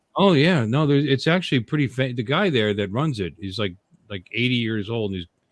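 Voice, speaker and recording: A man's plain, everyday voice, medium in pitch, at a fairly quick pace with lively intonation. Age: 60s. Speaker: podcast co-host. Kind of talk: casual chat.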